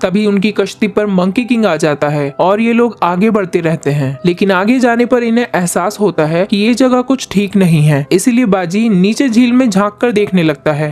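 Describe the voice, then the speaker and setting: With music in the background, a high-pitched man talks with hardly any pauses, lively intonation, and very even loudness. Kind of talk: movie plot recap narration.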